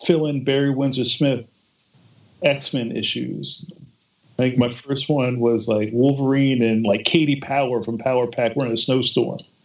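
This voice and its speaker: A man with an unremarkable speaking voice and an American accent, at a moderate pace. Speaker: comics artist. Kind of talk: casual chat.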